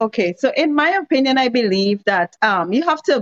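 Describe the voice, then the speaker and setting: A woman talks at a moderate pace. She has an ordinary speaking voice. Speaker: economics and trade expert. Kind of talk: interview on a podcast.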